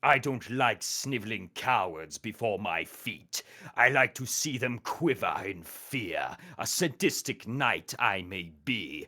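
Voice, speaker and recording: A man's put-on character voice at medium pitch, fairly slow and with lively intonation, on a very clean recording with a silent background. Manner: cruel, menacing.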